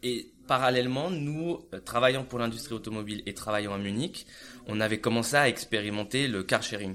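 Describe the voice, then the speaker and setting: A man with a bright, sharp tone, medium pitch, ordinary pitch variation and a moderate pace. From France. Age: 30s. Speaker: entrepreneur. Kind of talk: interview. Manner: halting.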